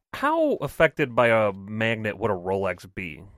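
A man speaks at a fairly slow pace with a medium pitch and lively intonation, in an ordinary speaking voice. The sound is dry and close with no echo, on a very clean recording with a silent background. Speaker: podcast co-host. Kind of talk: casual banter.

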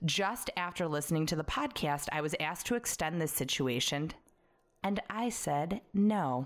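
On a very clean recording with a silent background, a woman with an American accent has an unremarkable speaking voice, fairly low in pitch with lively intonation. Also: moderate pace, very even loudness. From Chicago, US Midwest. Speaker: podcast host. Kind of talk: casual chat, banter.

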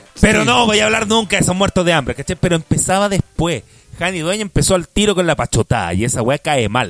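Fairly quick, high-pitched male speech with a Chilean accent, dry and close with no echo, over noticeable background noise. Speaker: podcast co-host. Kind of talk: casual chat.

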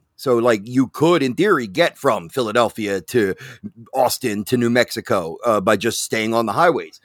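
Pitch sits at medium for this man, with ordinary variation and a moderate pace. The recording is very clean and silent behind him, dry and close with no echo. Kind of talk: casual chat. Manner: halting.

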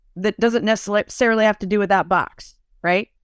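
A woman's unremarkable speaking voice at a moderate pace, dry and close with no echo, in a very clean recording against a silent background. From Italian-American family. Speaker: podcast host. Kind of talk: interview.

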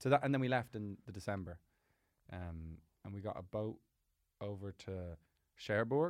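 A man's fairly low voice at a moderate pace, lively in intonation, with big swings in loudness and long, frequent pauses, on a very clean recording with a silent background. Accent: Irish. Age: 20s. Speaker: comedian. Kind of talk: casual chat. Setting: studio.

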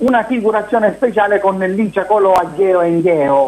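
Music plays in the background as a man speaks at a moderate pace with a high pitch. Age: 40s. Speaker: TV personality. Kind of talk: interview.

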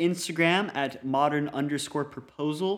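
A man with an American accent uses an ordinary speaking voice with a fairly high pitch. He talks at a fairly slow pace with fairly even intonation. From Colorado. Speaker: podcast host. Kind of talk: casual chat.

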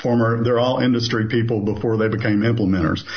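Speaking with an American accent, a man uses a medium-pitched, somewhat breathy voice. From US South, southeastern Kentucky. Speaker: business owner, consulting company CEO. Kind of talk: interview.

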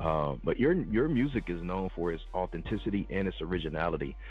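A man speaks with an energetic, animated tone. His pace is moderate, and music plays in the background. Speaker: radio show host. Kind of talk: radio DJ patter, hype-filled show intro and interview. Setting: radio studio. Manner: energetic, animated, hype-man.

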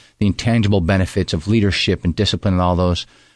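Very fast and very deep, a man speaks in a Pennsylvania accent. His intonation stays fairly even over a quiet background. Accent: Pennsylvania American. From Pennsylvania, Poconos. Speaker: senior army soldier. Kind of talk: radio interview. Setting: studio.

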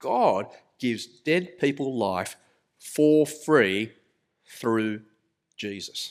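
Lively intonation marks a man's medium-pitched voice on a very clean recording with a silent background. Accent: Australian. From Australia. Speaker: pastor. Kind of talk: sermon. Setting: church.

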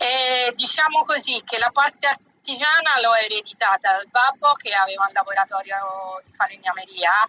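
With a plain, everyday voice, a woman talks at a fairly slow pace and medium pitch, with ordinary pitch variation and a dry, close sound with no echo. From Tuscany, Pietrasanta (Lucca). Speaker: artisan bag maker. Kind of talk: interview.

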